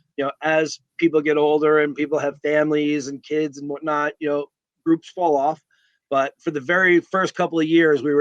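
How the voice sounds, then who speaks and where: Talking at a very fast pace with a New York accent, a man keeps a fairly high pitch and fairly even intonation. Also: dry, close sound with no echo. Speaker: sports fan leader and t-shirt businessman. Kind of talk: casual interview chat. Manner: loud.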